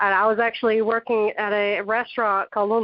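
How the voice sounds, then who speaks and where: With a Southern accent, a woman talks at a fairly quick pace and fairly high pitch. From Texas, then South Carolina from about age ten. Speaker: author. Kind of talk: casual interview chat.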